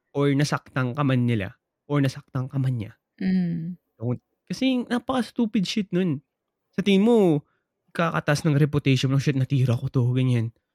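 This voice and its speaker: Recorded dry and close with no echo, a man speaks at a fairly high pitch with very wide pitch swings. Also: moderate pace. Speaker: podcast co-host. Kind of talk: casual chat.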